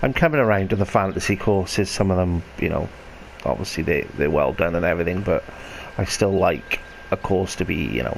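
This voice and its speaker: A man speaks quietly at a moderate pace, his pitch very deep and low. Noticeable background noise sits behind him. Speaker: video game commentator. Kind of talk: gameplay commentary.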